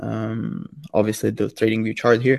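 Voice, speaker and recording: A man talks at a moderate pace at medium pitch, an unremarkable speaking voice. The sound is dry and close, with no echo. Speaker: crypto trader. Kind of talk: casual interview about trading.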